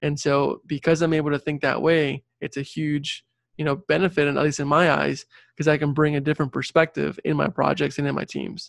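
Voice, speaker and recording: A man talks at a fairly quick pace and a fairly high pitch, with monotone, flat intonation. The sound is dry and close with no echo, over a quiet background. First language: Spanish. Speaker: civil engineer and career coach. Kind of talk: interview conversation.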